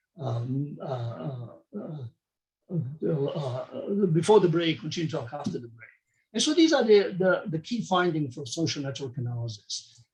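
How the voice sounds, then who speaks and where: Lively intonation marks this man's fairly high voice. He keeps a moderate pace amid audible room echo. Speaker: medical researcher. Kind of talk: conference talk. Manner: halting.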